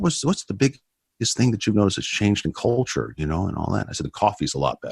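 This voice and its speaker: Over a silent background in a very clean recording, a man talks very fast with vocal fry and very wide pitch swings. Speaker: former prisoner turned ministry speaker. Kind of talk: testimony interview. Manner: loud.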